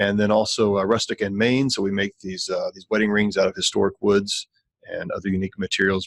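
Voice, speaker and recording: A man's fairly low voice at a fairly quick pace, with ordinary pitch variation and a dry, close sound with no echo. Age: 40s. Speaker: entrepreneur. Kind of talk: podcast interview. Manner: halting, many fillers.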